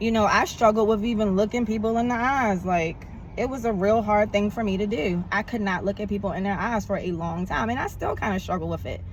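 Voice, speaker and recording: Animated and fairly quick, a woman at medium pitch talks with hardly any pauses. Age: 40s. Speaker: vlogger. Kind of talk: casual vlog monologue.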